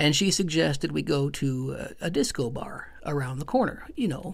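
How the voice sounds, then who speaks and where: A man talks at a fairly slow pace, with audible room echo around his voice. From Michigan, small town near Flint. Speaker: podcast host and stand-up comedian. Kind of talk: personal storytelling monologue. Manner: halting, with frequent fillers.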